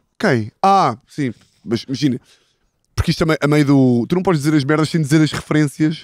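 A man at a fairly high pitch and moderate pace, with ordinary pitch variation and very even loudness, the sound dry with no echo and the background quiet. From Portugal, interior. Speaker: football podcast host. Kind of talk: casual chat. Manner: animated storytelling. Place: garden. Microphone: handheld.

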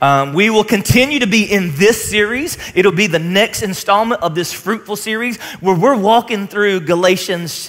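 A man speaks at a high pitch and a moderate pace, with ordinary pitch variation. He leaves hardly any pauses. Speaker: pastor. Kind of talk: sermon. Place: stage. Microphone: headset.

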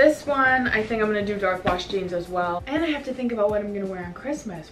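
A woman talks at a very fast pace with hardly any pauses. Noticeable background noise runs underneath. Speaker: fashion vlogger. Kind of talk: casual vlog chat. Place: home room. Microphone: camera far.

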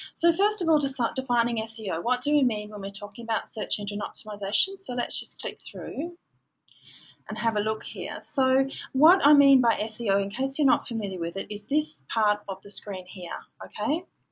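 A woman with an Australian accent speaks at a moderate pace. Her pitch is fairly high, and her intonation is lively. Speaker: digital marketing trainer. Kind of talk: webinar lecture. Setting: online webinar.

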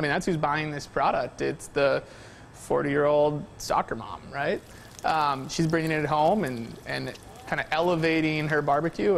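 Vocal fry runs through a man's fairly high voice as he talks at a moderate pace with ordinary pitch variation.

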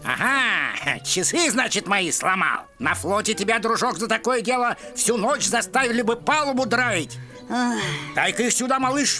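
A cartoonish character voice with a fairly high pitch speaks at a moderate pace over clear music in the background.

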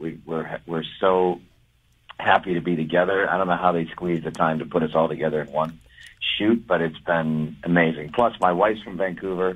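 Fairly even intonation at a moderate pace over a quiet background. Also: man, very deep, low pitch for a man. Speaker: caller. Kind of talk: casual phone chat with radio hosts. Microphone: phone line.

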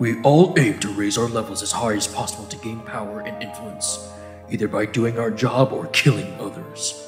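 Clear music plays behind a man doing a put-on character voice at a fairly low pitch and moderate pace, with slight echo. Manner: pleading, then angry.

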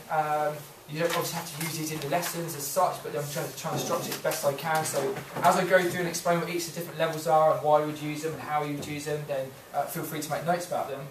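A man at a very fast pace in a monotone, flat intonation, over noticeable background noise. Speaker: teacher presenting to colleagues. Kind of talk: presentation to colleagues. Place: classroom. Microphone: camera far.

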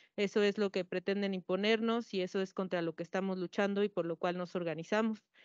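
A woman at a medium pitch speaks very fast in a flat monotone, with hardly any pauses. The sound is dry with no echo, and the background is quiet. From Mexico, Puebla, Cholula region; Puebla, Mexico. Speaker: panelist. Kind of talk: panel discussion. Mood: earnest, concerned. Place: hall. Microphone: handheld.

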